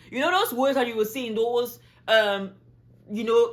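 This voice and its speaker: A woman speaks in an animated tone with a French accent. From Cameroon. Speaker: travel vlogger. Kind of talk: casual vlog talk.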